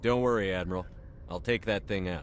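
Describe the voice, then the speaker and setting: Putting on a character voice, a man speaks at a fairly quick pace in a calm tone with a very deep, low pitch over clear background noise. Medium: video game. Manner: calm, direct.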